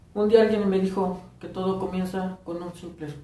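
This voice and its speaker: Audible room echo surrounds a man's high-pitched voice with a Mexican accent. He talks at a fairly slow pace in a monotone, flat intonation. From Morelos, Mexico. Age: 20s. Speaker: first-time vlogger. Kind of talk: casual talk to camera. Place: home room. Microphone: phone near.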